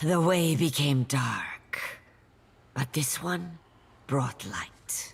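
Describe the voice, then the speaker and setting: In a put-on character voice at low-to-middle pitch, the speaker goes at a very slow pace with long, frequent pauses. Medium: video game.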